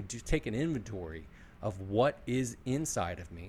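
A man talks in a somewhat breathy voice at a fairly low pitch. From Philadelphia. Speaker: podcast host and sales executive. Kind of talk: casual interview chat.

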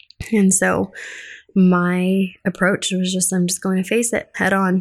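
Someone with an American accent speaks at a fairly slow pace in a monotone, flat way. The recording is very clean, with a silent background. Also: woman. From Colorado. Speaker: podcast host, widow and counselor. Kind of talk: personal monologue.

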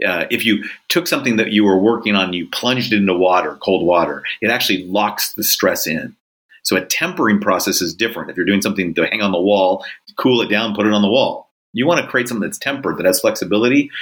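Speaking very fast in a Californian accent, a man has a fairly low pitch and ordinary pitch variation. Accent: Californian American. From Southern California. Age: 50s. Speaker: leadership author and executive coach. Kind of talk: interview.

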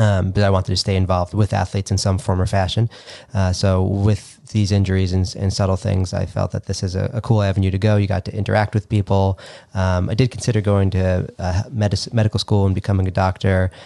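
With an American accent, a man speaks at a very fast pace in a fairly low pitch and a dark, mellow tone, his intonation monotone and flat, the sound dry and close with no echo. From Long Island, New York. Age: 30s. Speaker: physical therapist. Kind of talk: casual chat.

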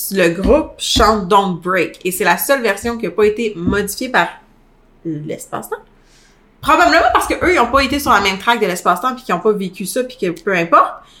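Fairly high in pitch, a woman speaks in a Quebec accent with an animated tone. Her pitch swings very widely. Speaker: podcast co-host. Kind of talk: casual chat.

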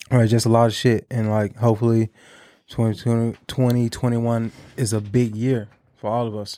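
On a very clean recording with a silent background, a man talks in a monotone with flat intonation. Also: medium pitch for a man, moderate pace. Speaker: podcast co-host. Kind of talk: casual chat. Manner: mumbling.

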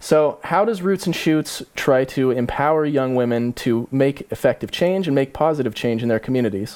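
A man's normal speaking voice, fairly high-pitched, with lively intonation, a moderate pace and very even loudness. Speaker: podcast host and interviewer. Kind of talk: interview questions.

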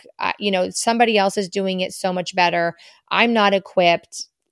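A woman speaks at a moderate pace and medium pitch in a monotone, flat intonation. The very clean recording has a silent background and a dry, close sound with no echo. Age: 40s. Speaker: podcast host. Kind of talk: casual monologue. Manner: warm, conversational.

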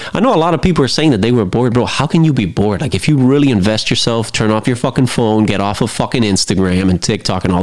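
An animated man at a medium pitch, talking at a very fast pace with lively intonation amid noticeable background noise. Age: 30s. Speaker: podcast host, movie reviewer. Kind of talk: casual solo movie review.

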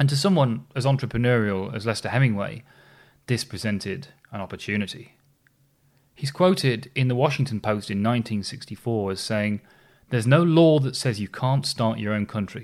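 A man talks at a fairly quick pace and medium pitch, with ordinary pitch variation, in a normal speaking voice. The recording is very clean, with a silent background. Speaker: podcast host. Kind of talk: history podcast narration, scripted storytelling. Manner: conversational yet polished storyteller, wry asides, steady pace.

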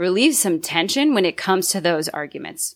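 A woman talks at a moderate pace with lively intonation and medium pitch. It is an unremarkable speaking voice. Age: 30s. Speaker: author. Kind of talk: interview.

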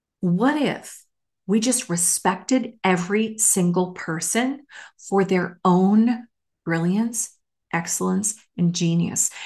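Against a quiet background, a woman talks at a very slow pace in a somewhat breathy voice, at medium pitch with ordinary pitch variation. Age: 50s. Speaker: podcast host, former government manager. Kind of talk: casual solo monologue.

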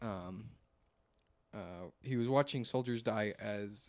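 The speaker is a man with a plain, everyday voice. He talks at a fairly low pitch and a fairly slow pace. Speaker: podcast host. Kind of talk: casual chat. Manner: joking, casual.

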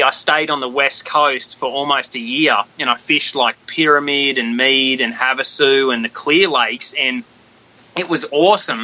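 Against noticeable background noise, a man with an Australian accent talks at a moderate pace in a fairly high pitch, his intonation fairly even. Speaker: professional bass angler. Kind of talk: casual interview chat. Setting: phone call.

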